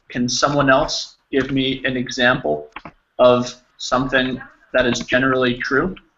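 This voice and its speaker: With an American accent, a man speaks at a medium pitch and a fairly slow pace with fairly even intonation. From New Jersey, US. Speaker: English teacher. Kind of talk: online language lesson.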